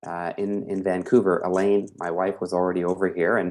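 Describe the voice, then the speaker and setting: A man with a Canadian accent and a plain, everyday voice speaks at a moderate pace and fairly low pitch against a quiet background. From Canada. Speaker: business coach and speaker. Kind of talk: interview. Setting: video call.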